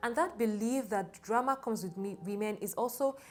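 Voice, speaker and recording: The speech has a moderate pace and ordinary pitch variation, with music in the background. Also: woman. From Nigeria. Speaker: YouTuber, women's empowerment content creator. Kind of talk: casual interview discussion.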